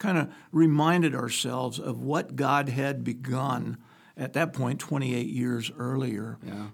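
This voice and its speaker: A man's very slow, medium-pitched voice with vocal fry and ordinary pitch variation. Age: 70s. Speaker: pastor. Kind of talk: casual chat.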